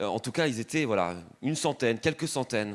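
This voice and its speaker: An ordinary speaking voice from a man, fairly quick in pace, with ordinary pitch variation. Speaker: preacher. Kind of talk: sermon.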